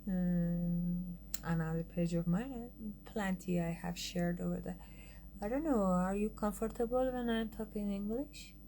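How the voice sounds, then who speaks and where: A woman with a somewhat breathy, dark, mellow voice speaks at medium pitch and a moderate pace, with ordinary pitch variation. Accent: Iranian. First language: Farsi. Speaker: artist and designer. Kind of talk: casual livestream chat. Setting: Instagram live stream. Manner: halting.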